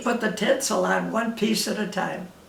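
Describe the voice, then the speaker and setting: Over noticeable background noise, a woman with a Western New York accent speaks fairly slowly at medium pitch. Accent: Western New York American English. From Rochester, New York. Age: 80s+. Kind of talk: interview answer.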